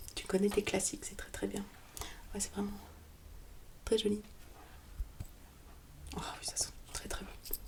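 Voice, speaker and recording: Whispering in a calm, gentle tone, a woman speaks at a fairly slow pace with long, frequent pauses and big swings in loudness over noticeable background noise. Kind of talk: ASMR roleplay, soft spoken relaxation. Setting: close-mic studio recording. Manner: soft-spoken, calm, gentle.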